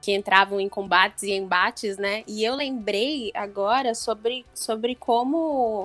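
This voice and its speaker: A woman at a fairly high pitch, very slow pace and ordinary pitch variation, with hardly any pauses and music in the background. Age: 20s. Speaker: lawyer, podcast guest. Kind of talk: casual chat.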